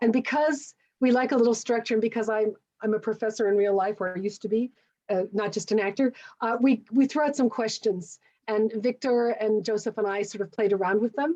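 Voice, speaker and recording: Fairly quick speech from a woman, ordinary in pitch variation. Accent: Canadian. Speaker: panel moderator, professor and actor. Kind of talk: panel moderation on a video call. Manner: hesitant, many fillers and repeats.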